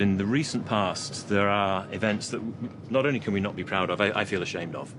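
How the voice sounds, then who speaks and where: A man's fairly low voice at a fairly quick pace, with audible room echo and music in the background. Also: ordinary pitch variation. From UK. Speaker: port authority executive. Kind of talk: interview.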